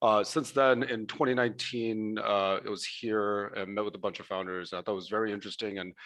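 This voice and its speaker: A man with an American accent, a normal speaking voice, fairly low pitch, fairly even intonation, a fairly quick pace and hardly any pauses. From Bangladesh, grew up in the US. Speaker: venture capital investor. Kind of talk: panel discussion.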